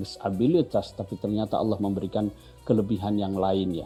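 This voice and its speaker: Music plays behind a man with a fairly low voice. His intonation stays fairly even. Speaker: Islamic cleric. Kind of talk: religious commentary in studio interview.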